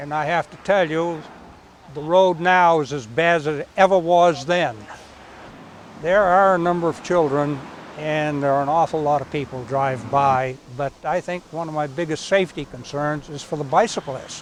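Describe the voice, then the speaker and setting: A man with a Maine accent speaks at a moderate pace in a fairly high pitch, with noticeable background noise. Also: ordinary pitch variation. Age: 80s+. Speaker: resident, military veteran. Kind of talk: interview.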